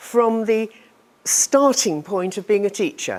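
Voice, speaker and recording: A woman in a British accent speaks with lively intonation. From United Kingdom. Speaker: teacher trainer. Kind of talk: lecture. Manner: slow.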